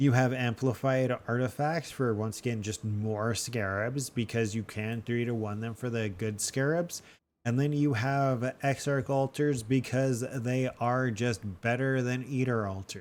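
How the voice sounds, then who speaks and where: A man at medium pitch, fairly slow in pace with hardly any pauses and fairly even intonation, on a very clean recording with a silent background. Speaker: gaming video creator. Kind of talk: game strategy tutorial. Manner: halting, stumbles over words; casual, many filler words.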